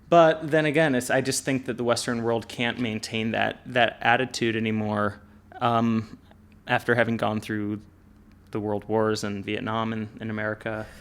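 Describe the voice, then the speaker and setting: Fairly even intonation in a man's medium-pitched speech. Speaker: podcast host. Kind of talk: interview. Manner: slow.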